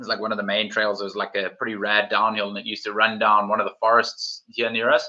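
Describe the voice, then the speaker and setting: A man talks at a very fast pace with a South African accent. His voice sits at a fairly low pitch. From South Africa, Cape Town. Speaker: mountain bike YouTuber. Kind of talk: live stream chat. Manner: casual, animated.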